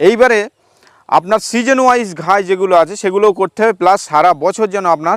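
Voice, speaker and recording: A man's high-pitched voice with a West Bengal accent and ordinary pitch variation, dry and close with no echo. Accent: West Bengal Bengali. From West Bengal, North 24 Parganas. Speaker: goat farmer. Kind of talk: interview. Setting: outdoors.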